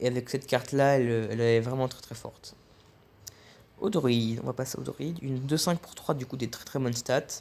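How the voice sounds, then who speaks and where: A man speaks with fairly even intonation. His loudness swings widely. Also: medium pitch for a man. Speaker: card game reviewer. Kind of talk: casual commentary. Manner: fast; halting.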